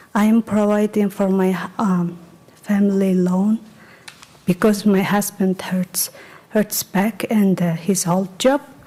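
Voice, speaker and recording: Speaking very slowly with a non-native accent, a woman holds a medium pitch in a monotone, flat intonation at very even loudness, with noticeable background noise behind her. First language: not English. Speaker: permit petitioner, cosmetologist. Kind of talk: public testimony. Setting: village board meeting. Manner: halting.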